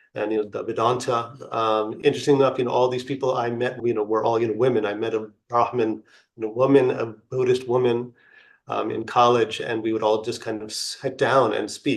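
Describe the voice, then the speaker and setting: This man talks at a fairly quick pace in a medium pitch, his intonation monotone and flat. Audible room echo surrounds his voice. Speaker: spiritual teacher. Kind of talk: lecture with personal story. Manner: halting, many fillers.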